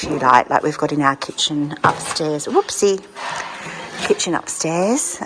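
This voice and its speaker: Over noticeable background noise, a woman with a very deep, low pitch speaks with an Australian accent and ordinary pitch variation. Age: 60s. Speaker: vlogger. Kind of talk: casual talk to camera.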